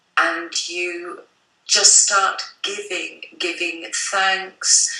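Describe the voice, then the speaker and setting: A woman speaks at a very slow pace in a medium pitch, with audible room echo. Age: 60s. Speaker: psychic artist. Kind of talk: interview.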